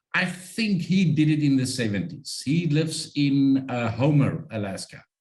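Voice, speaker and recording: This man has a fairly high pitch and a somewhat breathy sound. He talks at a moderate pace with lively intonation. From South Africa. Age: 50s. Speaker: sled dog musher. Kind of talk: interview.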